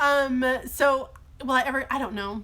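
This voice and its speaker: A woman's raised, projected voice, high in pitch and bright and sharp in tone, with ordinary pitch variation at a fairly slow pace. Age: 20s. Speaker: teacher. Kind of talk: live Q&A stream. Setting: live stream in a workshop. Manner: animated.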